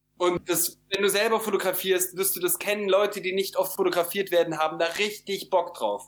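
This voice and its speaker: Fairly quick, monotone speech from a man with a high pitch, flat intonation and hardly any pauses. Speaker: photographer. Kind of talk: interview. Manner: halting, many fillers.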